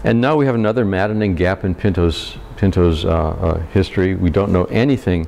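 The speech moves at a fairly quick pace with very even loudness and ordinary pitch variation over light background noise. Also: man, very deep, low pitch for a man. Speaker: local historian; presenter. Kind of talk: history lecture. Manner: hesitant, casual. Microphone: lapel.

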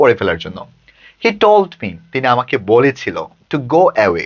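With a Bangladeshi accent, a man speaks at medium pitch. His pitch swings very wide. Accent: Bangladeshi Bengali. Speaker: English tutor. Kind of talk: lecture.

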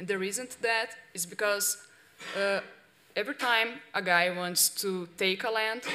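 A woman with a Portuguese accent speaks at a moderate pace. Her pitch is medium and her intonation fairly even. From Brazil. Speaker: investigative journalist. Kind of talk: workshop presentation. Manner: halting. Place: hall. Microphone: podium.

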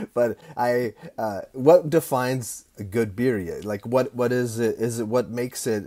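With a dark, mellow tone, a man speaks at a fairly slow pace with ordinary pitch variation. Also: quiet background. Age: 50s. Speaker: barbecue podcast host. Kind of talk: casual interview. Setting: video call. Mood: cheerful, laughing. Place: home room. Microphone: earbuds.

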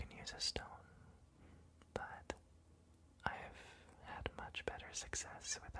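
The words come at a very slow pace. It is all whispered. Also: man. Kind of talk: soft-spoken ASMR roleplay. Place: home room.

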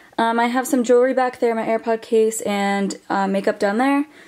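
Woman's voice with ordinary pitch variation against a quiet background. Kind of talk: casual vlog chat. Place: home room. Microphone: phone near.

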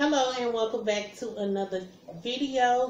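A woman speaks with fairly even intonation. Audible room echo and light background noise are present. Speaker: mukbang vlogger. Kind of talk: casual vlog chat. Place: home room. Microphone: phone near.

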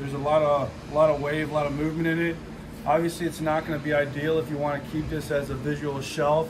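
Noticeable background noise sits under a man speaking at a fairly quick pace with monotone, flat intonation. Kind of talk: tutorial. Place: garage. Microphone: camera far.

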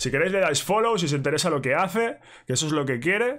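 A man talks very fast, with a quiet background behind him. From Spain. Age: 20s. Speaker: music YouTuber; streamer. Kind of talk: direct-to-camera rant. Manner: casual, repetitive fillers. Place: home room.

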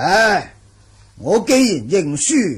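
A man puts on a character voice, pitched high, with a husky, rough edge. He talks very slowly, and his pitch swings very widely.

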